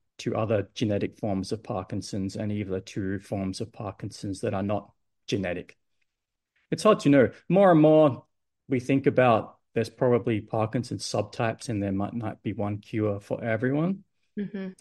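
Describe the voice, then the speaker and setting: A man's medium-pitched voice at a moderate pace against a quiet background. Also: ordinary pitch variation. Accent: Australian. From Adelaide, South Australia. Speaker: medical research scientist. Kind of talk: podcast interview.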